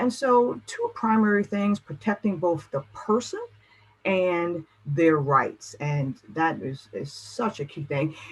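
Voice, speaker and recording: At a very slow pace, a woman with a fairly low pitch speaks with very wide pitch swings against noticeable background noise. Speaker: motivational speaker on caregiving. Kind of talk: presentation. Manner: animated.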